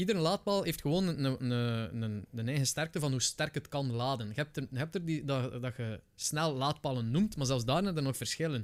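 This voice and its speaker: On a very clean recording with a silent background, a man with a Flemish accent talks at a fairly quick pace, his fairly high pitch carried by lively intonation. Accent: Flemish Dutch. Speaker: Twitch streamer. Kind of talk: casual chat. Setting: studio.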